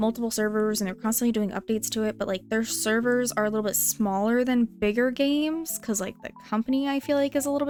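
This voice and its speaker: Over music in the background, a woman with a fairly high pitch talks at a very fast pace, with ordinary pitch variation and hardly any pauses. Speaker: gaming streamer. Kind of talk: casual live-stream chat while gaming.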